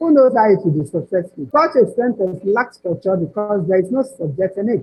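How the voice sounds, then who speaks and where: In a Nigerian accent, a woman with a fairly high, somewhat breathy voice speaks at a moderate pace with very wide pitch swings. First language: Nigerian language other than English. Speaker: proofreader and editor. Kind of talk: webinar presentation. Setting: online webinar.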